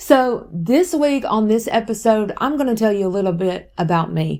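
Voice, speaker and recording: Speaking with a Southern US accent, a woman uses a dark, mellow tone at a medium pitch and a moderate pace. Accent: Southern US (Georgia). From US South, West Georgia. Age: 40s. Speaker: podcast host and content creator. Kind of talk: casual personal testimony podcast. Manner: chatty, conversational.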